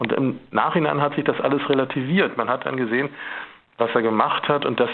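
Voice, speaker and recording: A normal speaking voice from a man, medium in pitch, with ordinary pitch variation. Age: 50s. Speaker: photographer. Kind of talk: radio interview.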